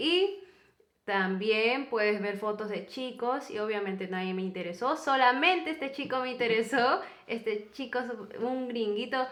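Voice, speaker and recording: Over noticeable background noise and audible room echo, a woman with a high pitch talks at a fairly slow pace with lively intonation. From Peru. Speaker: YouTuber, co-host of a couple's channel. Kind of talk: casual storytelling chat.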